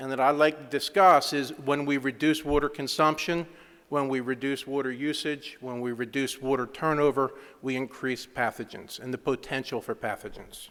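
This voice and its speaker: A man with a Philadelphia accent, fairly high pitch, a bright, sharp tone, fairly even intonation and a fairly quick pace. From US Northeast, Philadelphia. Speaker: engineering consultant. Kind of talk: conference presentation. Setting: conference stage with audience.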